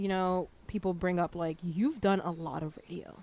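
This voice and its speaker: A woman's animated, fairly low voice with a New Jersey accent. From New Jersey, Hudson County. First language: Haitian Creole. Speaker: DJ and radio presenter. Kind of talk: casual chat. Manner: fast, animated.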